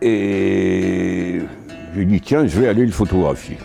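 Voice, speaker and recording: A man's voice with music in the background. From Paris. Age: 80s+. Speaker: photographer. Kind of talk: interview answer. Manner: lively, colourful storyteller.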